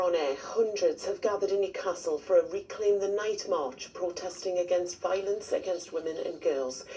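A woman at medium pitch and a fairly quick pace, with ordinary pitch variation. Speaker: regional TV newsreader. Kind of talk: regional TV news bulletin reading from autocue. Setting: TV news studio. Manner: crisp, measured and formal; warm, friendly sign-off. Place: studio.

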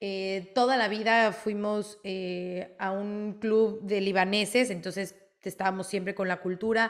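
A woman at a fairly slow pace with fairly even intonation over a quiet background. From Mexico. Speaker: sports reporter. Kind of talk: interview. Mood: warm, reflective, proud. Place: home room. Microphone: video call.

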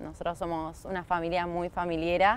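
Recorded in a dry sound with no echo, a woman speaks at a fairly low pitch. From Argentina, Canning (Buenos Aires province). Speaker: field hockey player. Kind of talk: interview. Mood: warm, smiling. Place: open country.

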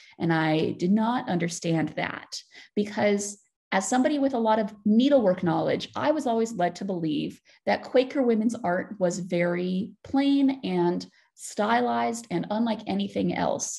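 Against a quiet background, a woman with an American accent talks at a moderate pace and medium pitch in a somewhat breathy voice with a dark, mellow tone and very wide pitch swings. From United States. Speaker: PhD student researcher. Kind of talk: lecture.

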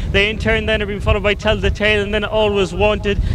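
Over noticeable background noise, the words come at a very fast pace. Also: man. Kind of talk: race commentary. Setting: racecourse PA / broadcast commentary. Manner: fast, fluent, rhythmic delivery with rising urgency toward the finish.

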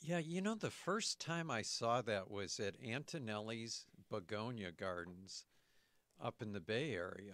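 Against a quiet background, a man speaks at a fairly slow pace with an American accent. His intonation is lively, and the sound is dry with no echo. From Michigan. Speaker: radio co-host, horticulture author; radio co-host. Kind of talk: radio talk show. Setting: radio studio. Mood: friendly, smiling. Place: studio. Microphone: studio mic.

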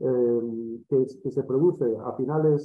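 A man is speaking. Audible room echo can be heard. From Spain. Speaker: academic organizer; audience member. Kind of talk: academic discussion. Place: home room. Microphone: webcam.

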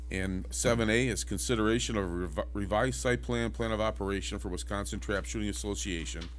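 A man talks at a very fast pace in a very deep, low voice with vocal fry. Light background noise is audible. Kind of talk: meeting chairing, procedural reading. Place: meeting room. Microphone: podium.

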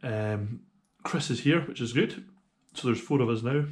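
A man talks with ordinary pitch variation against a quiet background. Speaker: motorcycle touring vlogger. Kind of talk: casual vlog chat. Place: home room. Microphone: phone near.

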